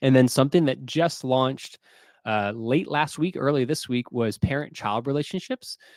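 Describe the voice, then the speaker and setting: With a medium pitch and ordinary pitch variation, a man speaks at a fairly quick pace. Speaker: software company webinar presenter. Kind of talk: product webinar presentation. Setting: live online webinar. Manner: fast; words sometimes blurred together.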